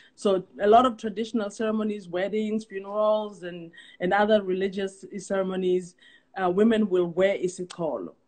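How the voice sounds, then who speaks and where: Speaking at a moderate pace, a woman with a South African accent uses a medium pitch. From South Africa, Zulu. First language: isiZulu. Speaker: guest speaker on culture. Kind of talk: casual live-stream chat. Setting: online live stream call. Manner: halting, many fillers and repeats.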